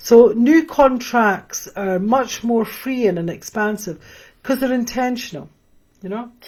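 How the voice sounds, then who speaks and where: A woman's fairly high voice at a fairly slow pace, with ordinary pitch variation. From Scotland, near Edinburgh. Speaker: spiritual teacher. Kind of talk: live stream Q&A teaching. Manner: hesitant, many fillers.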